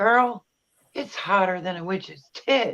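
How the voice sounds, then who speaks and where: At a fairly slow pace, a female-sounding put-on character voice speaks at a medium pitch for a woman. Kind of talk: folksy, colorful idiom.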